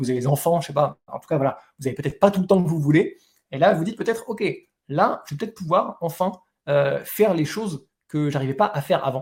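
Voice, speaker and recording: Enthusiastic and fairly quick, a man speaks at a high pitch with ordinary pitch variation. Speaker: webinar host selling an online course. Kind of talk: live webinar sales pitch. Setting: live online webinar. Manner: fast; enthusiastic, many filler words.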